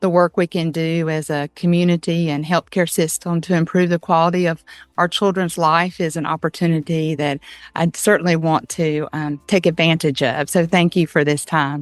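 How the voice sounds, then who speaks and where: In a quiet setting, a woman with an American accent talks at a moderate pace, her fairly low pitch carrying fairly even intonation. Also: dry, close sound with no echo. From Georgia, US South. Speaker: early childhood education advocate. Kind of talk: interview.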